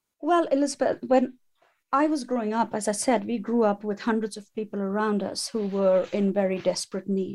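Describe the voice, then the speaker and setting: On a very clean recording with a silent background, a woman with an ordinary speaking voice talks at a moderate pace, her pitch fairly high with ordinary pitch variation. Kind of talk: interview.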